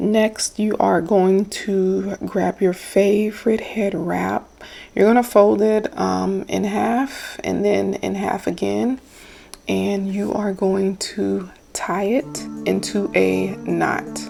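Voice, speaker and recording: A woman speaking at a very slow pace, with noticeable background noise. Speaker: beauty vlogger. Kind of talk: tutorial. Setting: voiceover. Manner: chatty, casual.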